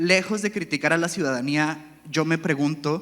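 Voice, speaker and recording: A man's bright, sharp, fairly high voice, with fairly even intonation at a moderate pace. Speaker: panelist. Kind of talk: panel discussion.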